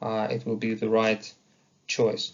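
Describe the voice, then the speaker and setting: A man speaks here. His voice is somewhat breathy. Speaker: university lecturer. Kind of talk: lecture. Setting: online lecture recording. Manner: halting with fillers.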